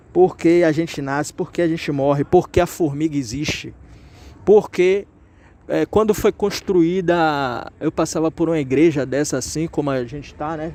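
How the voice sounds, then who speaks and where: A man's dark, mellow voice sits fairly high, its pitch varying in an ordinary way. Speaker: YouTuber answering viewer questions. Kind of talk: casual chat. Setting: outdoors.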